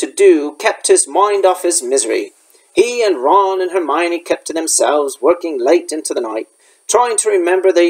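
A passage is read aloud in a natural voice with silence behind it.

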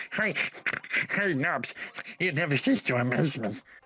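A man's put-on character voice, fairly high in pitch. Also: moderate pace. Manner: acted, deliberately exaggerated.

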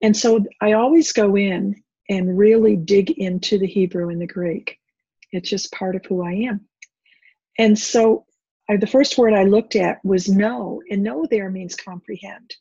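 Over a quiet background, a woman talks fairly slowly in a somewhat breathy, dark, mellow tone with ordinary pitch variation, in a dry sound with no echo. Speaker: bible teacher. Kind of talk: teaching talk. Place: home room. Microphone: webcam.

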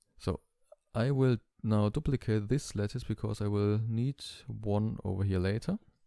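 A dark, mellow tone at a moderate pace, with fairly even intonation and very even loudness. The recording is very clean with a silent background, dry and close with no echo. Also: man, fairly low pitch for a man. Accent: non-native. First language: not English. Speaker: tutorial channel creator. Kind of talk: tutorial. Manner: hesitant, many fillers.

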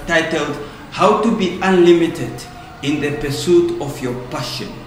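In a room with audible echo and light background noise, a man with a high pitch talks at a fairly slow pace. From Namibia. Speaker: motivational speaker. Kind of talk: promotional announcement. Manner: energetic. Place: studio.

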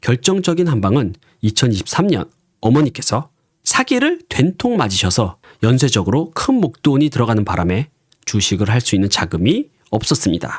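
On a very clean recording with a silent background, a man speaks at a moderate pace in a medium pitch, somewhat breathy and with very wide pitch swings. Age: 40s. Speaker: stock day trader and YouTuber. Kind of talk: scripted narration.

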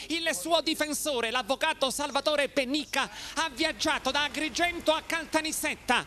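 Speaking at a moderate pace, a man projects a raised voice with fairly even intonation. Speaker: TV news reporter. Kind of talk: formal TV news report reading. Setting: TV news package. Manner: formal; solemn, measured.

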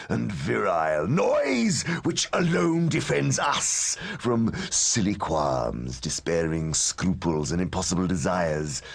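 Here a man puts on a character voice. It sits at a very deep, low pitch. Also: fairly slow pace. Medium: audio drama. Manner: jaded, cynical, world-weary with flashes of anger.

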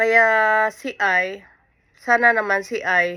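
A woman with a bright, sharp tone and ordinary pitch variation is heard on a very clean recording against a silent background. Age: 50s. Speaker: vlogger. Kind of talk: casual vlog monologue.

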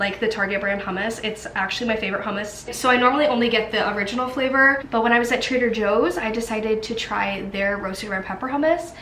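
A woman at a very fast pace with hardly any pauses and ordinary pitch variation, amid audible room echo and light background noise. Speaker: college student vlogger. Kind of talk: casual vlog chat. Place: kitchen. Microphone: phone near.

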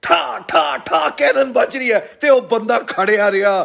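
Against a quiet background, a man speaks loudly. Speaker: political commentator. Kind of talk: political commentary monologue. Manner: loud, impassioned. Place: home room. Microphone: phone near.

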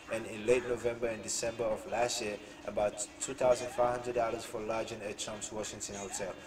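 Over noticeable background noise, a man speaks at a moderate pace in a monotone, flat intonation. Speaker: political commentary vlogger. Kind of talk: commentary reading news article. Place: home room. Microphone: webcam.

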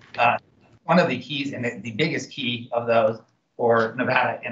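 Noticeable background noise runs behind a man whose pitch varies in an ordinary way. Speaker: state climate policy official presenting. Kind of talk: meeting presentation. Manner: fast; halting, many fillers. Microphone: video call.

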